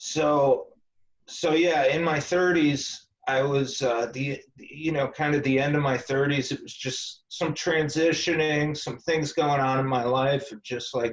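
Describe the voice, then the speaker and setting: An unremarkable speaking voice from a man, fairly high in pitch, with fairly even intonation at a fairly slow pace. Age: 40s. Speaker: esoteric author and Freemason. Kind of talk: interview.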